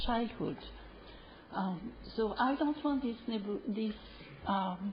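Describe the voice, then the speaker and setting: In a French accent, a woman speaks at a fairly slow pace. Her pitch is fairly high, and noticeable background noise surrounds her. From France (Paris). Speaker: public hearing speaker. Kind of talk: public testimony. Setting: city council chamber. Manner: hesitant, many fillers.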